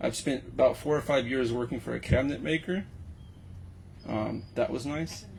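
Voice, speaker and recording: With an American accent and some vocal fry, a man speaks at a medium pitch and moderate pace, with ordinary pitch variation and long, frequent pauses. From Texas, Houston. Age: 30s. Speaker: Navy veteran. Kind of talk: casual chat. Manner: halting.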